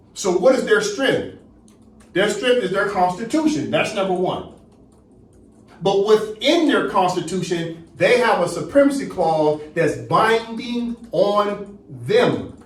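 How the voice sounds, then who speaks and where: Speaking at a very slow pace, a man with a high voice and lively intonation is heard over noticeable background noise and audible room echo. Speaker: teacher leading a study class. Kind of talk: lecture.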